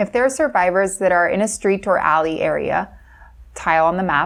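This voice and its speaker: A woman with an American accent and an ordinary speaking voice, at medium pitch and a moderate pace. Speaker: voice-over narrator. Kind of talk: scripted narration.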